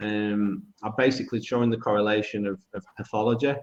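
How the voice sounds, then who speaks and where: A man with a British accent at a moderate pace. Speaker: foot and ankle biomechanics clinician. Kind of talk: webinar lecture. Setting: video call webinar. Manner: loud; hesitant, many fillers.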